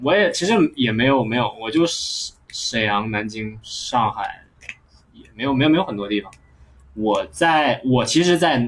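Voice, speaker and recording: At a moderate pace, a man speaks in a medium pitch with lively intonation, big swings in loudness, and long, frequent pauses. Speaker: podcast host, stand-up comedian. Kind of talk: casual chat. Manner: animated.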